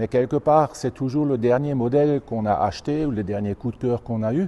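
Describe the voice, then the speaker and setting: Here a man speaks at a medium pitch and a moderate pace. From Alsace, France (Haut-Rhin). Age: 60s. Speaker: tractor collector. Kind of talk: interview. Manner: halting.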